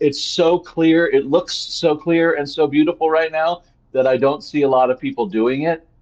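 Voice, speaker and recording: The man talks fairly quickly. An American accent marks his speech. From California, Ventura County. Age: 60s. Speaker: fire evacuee. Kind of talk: interview. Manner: halting, repetitive.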